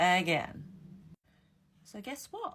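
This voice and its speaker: A woman with a non-native accent and a medium pitch speaks at a fairly slow pace, her voice somewhat breathy. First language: not English. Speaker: ex-Jehovah's Witness YouTuber. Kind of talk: casual explainer monologue. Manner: animated, with repetitions and fillers.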